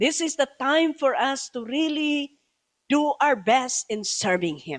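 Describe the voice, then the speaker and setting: In a Filipino accent, a woman with a high voice speaks fairly slowly with very wide pitch swings, the sound dry and close with no echo. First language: Tagalog. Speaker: bishop preacher. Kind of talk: sermon. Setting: church service, also streamed online. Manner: code-switching Tagalog and English.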